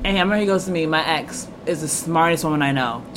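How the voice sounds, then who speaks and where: With an American accent, a woman talks in a very deep, low voice over noticeable background noise. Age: 20s. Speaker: podcast host. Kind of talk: casual chat.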